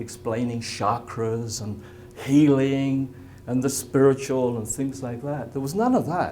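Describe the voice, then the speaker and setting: A medium-pitched man with an English accent at a moderate pace, with audible room echo. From England. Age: 70s. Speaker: spiritual healing presenter. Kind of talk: presentation to a live audience.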